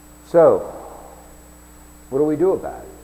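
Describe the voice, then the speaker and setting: There is noticeable background noise. A man speaks with an American accent. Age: 60s. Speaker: self-declared presidential candidate. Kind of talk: campaign announcement monologue. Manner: halting, with repeated restarts.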